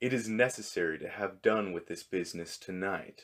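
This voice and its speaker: A man's put-on character voice at a fairly low pitch, moderate pace and ordinary pitch variation, on a very clean recording with a silent background. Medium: read story. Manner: dry, formal, deadpan.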